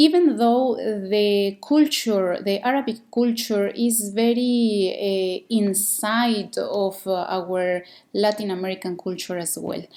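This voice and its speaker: In a very clean recording with a silent background, a woman with a Mexican accent speaks very slowly in a dark, mellow tone at medium pitch with ordinary pitch variation. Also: hardly any pauses. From Mexico. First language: Spanish. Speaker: podcast host. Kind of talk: podcast monologue. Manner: slow, deliberate; halting, many fillers.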